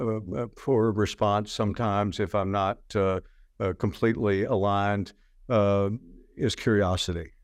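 Against a quiet background, a man with a plain, everyday voice talks at a fairly slow pace and a fairly low pitch. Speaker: podcast host and physician. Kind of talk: casual interview conversation.

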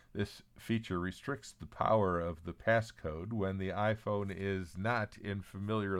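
Fairly low in pitch with fairly even intonation, a man has a plain, everyday voice at a fairly slow pace on a very clean recording with a silent background. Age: 60s. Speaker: newsletter publisher and podcast host. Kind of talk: scripted news reading.

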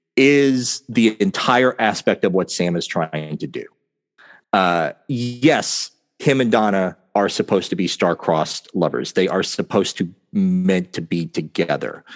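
A man speaks in a plain, everyday voice, fairly low in pitch, with lively intonation at a fairly slow pace. The sound is dry and close with no echo, over a quiet background. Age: 40s. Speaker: podcast co-host. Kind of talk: casual chat about a TV show.

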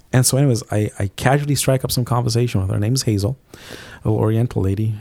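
This man has a fairly low, dark and mellow voice that is somewhat breathy. His pitch varies in an ordinary way. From Zimbabwe. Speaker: business owner and youth pastor. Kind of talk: testimony. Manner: halting.

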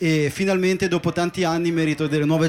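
A man talks at a fairly quick pace in an ordinary speaking voice. His intonation stays fairly even. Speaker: DJ. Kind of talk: interview on live podcast. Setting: boat with live audience.

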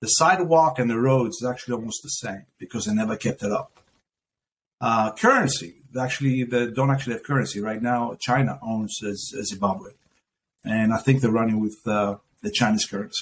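This voice has a Greek accent and a fairly quick pace. Its pitch variation is ordinary. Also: man, medium pitch for a man. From Athens, Greece. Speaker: business owner. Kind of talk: casual interview conversation. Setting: video call.

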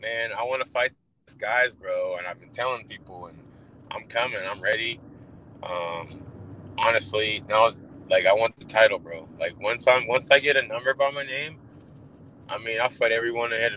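The speaker sounds animated and talks fairly quickly, with ordinary pitch variation, big swings in loudness, and long, frequent pauses. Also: man, medium pitch for a man. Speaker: UFC fighter. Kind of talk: casual interview. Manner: casual, animated.

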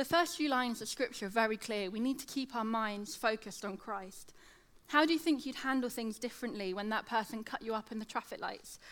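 Speaking in a British accent, a woman talks at a fairly quick pace with a fairly high pitch and ordinary pitch variation. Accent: British, slight lateral lisp. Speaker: teacher giving a church talk. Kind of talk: sermon. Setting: church with audience.

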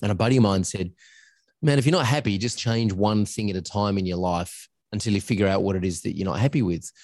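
With an Australian accent, a man talks very fast at a fairly low pitch against a quiet background. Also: ordinary pitch variation. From Australia, northern suburbs of Adelaide. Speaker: agency coach and founder, former voiceover artist. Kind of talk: interview. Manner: talkative, rambling.

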